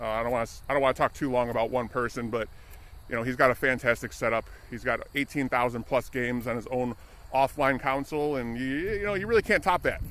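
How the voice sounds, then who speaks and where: The delivery runs at a very fast pace with ordinary pitch variation. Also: man, medium pitch for a man. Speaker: IRL streamer. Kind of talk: casual live-stream chat while walking.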